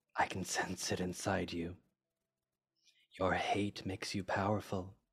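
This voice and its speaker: A man uses a put-on character voice that is raspy and very deep and low. He speaks at a moderate pace. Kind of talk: solemn, formal in-character speech. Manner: menacing, hungry, deliberate.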